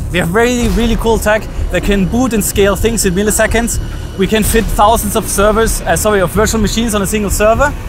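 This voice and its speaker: Over noticeable background noise, a man speaks fairly quickly in a high voice. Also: dry sound with no echo. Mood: cheerful, slightly nervous. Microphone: phone near.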